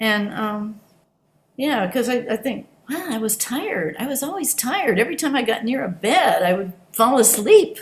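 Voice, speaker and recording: Her pace is moderate. This woman speaks at a fairly high pitch with very wide pitch swings. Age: 70s. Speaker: Zen practitioner giving dharma talk. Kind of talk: dharma talk. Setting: online video meeting. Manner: halting.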